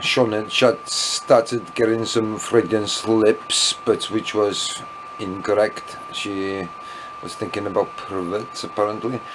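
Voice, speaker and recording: Very slowly, a man talks while noticeable background noise fills the recording. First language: Welsh. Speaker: vlogger. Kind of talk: casual vlog monologue. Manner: rambling, hesitant with many fillers.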